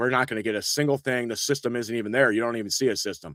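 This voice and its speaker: Here a man speaks with a rural Indiana accent and ordinary pitch variation. The recording is very clean, with a silent background and a dry, close sound with no echo. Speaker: local online show host. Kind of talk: casual live-stream chat and weather talk. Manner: casual, rambling with fillers.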